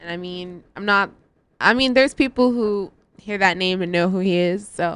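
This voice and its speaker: An ordinary speaking voice moves at a moderate pace with ordinary pitch variation and big swings in loudness. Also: woman, medium pitch for a woman. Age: 20s. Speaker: radio DJ. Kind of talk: casual chat.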